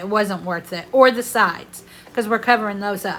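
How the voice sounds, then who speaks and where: Loud and with fairly even intonation, a woman with a Southern US accent speaks at a fairly high pitch. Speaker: craft video creator. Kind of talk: voiceover tutorial. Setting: home bedroom voiceover.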